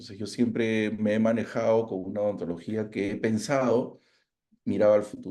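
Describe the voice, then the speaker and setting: A dark, mellow tone at a moderate pace with fairly even intonation. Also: man, fairly low pitch for a man. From Peru. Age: 60s. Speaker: orthodontist. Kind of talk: interview conversation. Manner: halting, repeats words.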